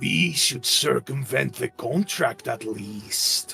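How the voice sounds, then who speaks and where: A man puts on a character voice, raspy and at medium pitch. He talks at a very slow pace with clear music in the background. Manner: evil, sinister.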